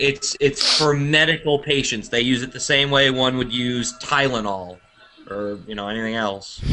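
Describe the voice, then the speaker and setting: With an American accent, a man speaks at a moderate pace and medium pitch. His pitch varies in an ordinary way, and there is noticeable background noise. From United States. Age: 20s. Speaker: podcast host. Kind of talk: casual chat. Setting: live podcast.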